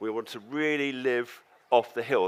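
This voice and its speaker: A man in a southern English accent talks at a medium pitch with ordinary pitch variation. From England, London. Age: 70s. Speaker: organic farmer and storyteller. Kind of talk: storytelling talk on stage. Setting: stage with audience.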